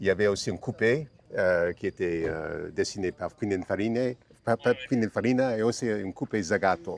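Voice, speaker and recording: A man with an American accent, fairly low pitched, with ordinary pitch variation and a dry, close sound with no echo. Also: moderate pace. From United States. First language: English (speaking French). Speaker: classic car owner. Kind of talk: interview. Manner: halting, many hesitations and repetitions.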